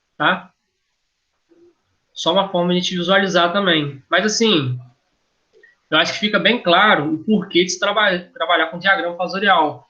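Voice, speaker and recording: A man with a high pitch and a bright, sharp tone speaks at a moderate pace with ordinary pitch variation and long, frequent pauses. There is audible room echo. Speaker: engineering lecturer. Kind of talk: lecture. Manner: halting, self-correcting.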